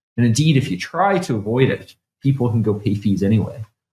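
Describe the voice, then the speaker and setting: With lively intonation and a somewhat breathy quality, a man speaks at a moderate pace and a medium pitch. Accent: Canadian. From Canada. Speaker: bitcoin developer. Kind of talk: technical interview. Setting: studio.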